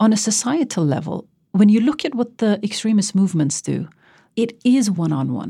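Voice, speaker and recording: On a very clean recording with a silent background, a woman with a dark, mellow tone and vocal fry speaks fairly quickly at a medium pitch, her voice making very wide pitch swings. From raised in the West. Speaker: documentary filmmaker. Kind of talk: interview.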